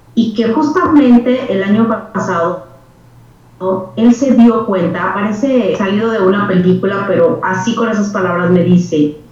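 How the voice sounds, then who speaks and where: The pace is fairly slow and the pitch varies in an ordinary way. Audible room echo and noticeable background noise surround the voice. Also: woman. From northern Mexico, Torreón, Coahuila. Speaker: civic foundation president. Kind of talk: interview conversation.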